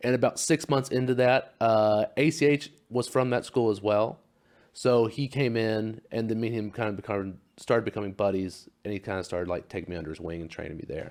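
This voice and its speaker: A man's unremarkable speaking voice with an American accent, medium pitch, ordinary pitch variation and a fairly quick pace, on a very clean recording with a silent background. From Oklahoma, US. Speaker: pro wrestler. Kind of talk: casual interview.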